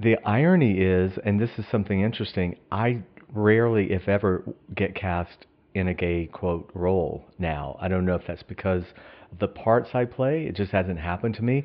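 This man talks with an ordinary speaking voice and ordinary pitch variation. His pace is moderate. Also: fairly low pitch for a man. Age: 50s. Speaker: actor. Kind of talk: interview.

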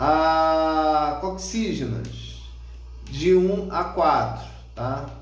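Very slowly and with long, frequent pauses, a man talks in a room with audible echo and noticeable background noise. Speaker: radiology course instructor. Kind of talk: lecture. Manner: casual, with frequent filler words.

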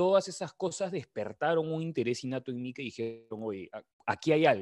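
This man talks at a moderate pace with very wide pitch swings, recorded with a dry, close sound with no echo against a quiet background. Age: 20s. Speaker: nutrition coach. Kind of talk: casual interview.

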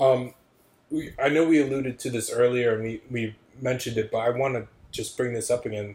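A man with an American accent talks at a fairly quick pace in a medium pitch, his voice somewhat breathy. His intonation stays fairly even. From Syracuse, New York. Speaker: podcast host. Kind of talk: casual chat.

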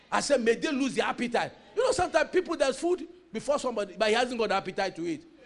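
A man speaks very fast in an extremely high, intense voice with lively intonation. Background noise is noticeable.

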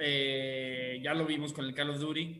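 A man talks with a Mexican accent. Noticeable background noise and audible room echo surround his voice. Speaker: podcast host. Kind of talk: casual chat. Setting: video stream.

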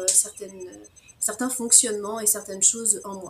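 With ordinary pitch variation, this woman's voice stays at a medium pitch. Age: 40s. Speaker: naturopath. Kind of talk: interview. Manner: spontaneous, outspoken; hesitant, many fillers. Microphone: sound problems in the first minutes.

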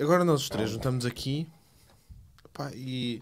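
A man with lively intonation. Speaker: tech podcast guest. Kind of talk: casual chat.

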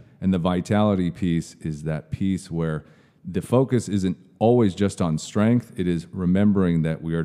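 With an American accent, a man speaks at a moderate pace in a very deep, low pitch and a dark, mellow tone with ordinary pitch variation, recorded very cleanly against a silent background. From US Pacific Northwest, Seattle area. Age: 30s. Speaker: personal trainer. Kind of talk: casual interview chat. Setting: gym.

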